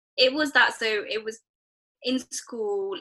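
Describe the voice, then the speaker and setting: Speaking at a fairly slow pace, a woman talks with a British accent. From England, Nepali family. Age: 20s. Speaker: NHS project manager. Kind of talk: casual chat.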